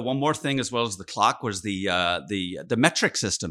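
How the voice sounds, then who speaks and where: Over a very clean recording with a silent background, a man speaks at a moderate pace. His tone is bright and sharp, with lively intonation. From Sheffield, England. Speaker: physical therapist, company founder. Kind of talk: interview storytelling.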